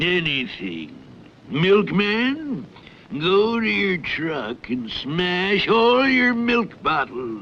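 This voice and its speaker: Putting on a cartoonish character voice, a man speaks at a very slow pace in a high pitch with very wide pitch swings. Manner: gloating, commanding.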